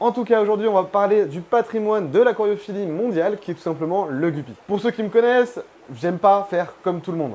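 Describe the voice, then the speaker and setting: A man with a high-pitched voice at a fairly quick pace. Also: ordinary pitch variation. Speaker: aquarium YouTuber. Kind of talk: tutorial. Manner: fast; casual.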